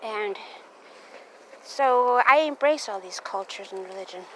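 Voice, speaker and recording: Against noticeable background noise, a woman speaks at a moderate pace with ordinary pitch variation. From Navajo Nation, Canyon de Chelly, Arizona. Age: 40s. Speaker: vlogger, storyteller. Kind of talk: casual oral storytelling while walking. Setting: outdoors walking a dog. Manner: halting, repetitive.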